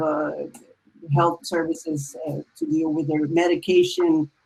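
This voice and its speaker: Here a woman speaks with a Spanish accent. Her voice is very deep and low, with a dark, mellow tone. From Dominican Republic. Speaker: musician and novelist. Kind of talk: panel discussion. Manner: halting.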